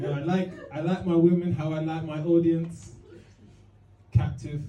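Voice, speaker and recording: A man's fairly high pitch and dark, mellow tone with fairly even intonation at a moderate pace, in audible room echo. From East London. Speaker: stand-up comedian. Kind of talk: stand-up. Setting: stage with audience. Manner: halting.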